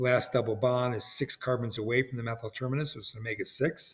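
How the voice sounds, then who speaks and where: A man talks at a fairly quick pace and medium pitch, sounding somewhat breathy. His intonation stays fairly even. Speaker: biochemistry professor. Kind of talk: lecture. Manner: fast.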